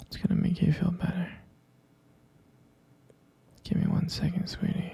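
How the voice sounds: The man's tone is dark and mellow. He talks at a fairly slow pace.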